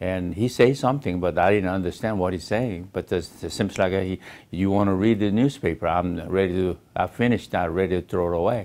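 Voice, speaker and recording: A man with a Korean accent, very deep and low in pitch, ordinary pitch variation, hardly any pauses, on a very clean recording with a silent background. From South Korea. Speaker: Korean-American immigrant. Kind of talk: personal life story interview. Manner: halting.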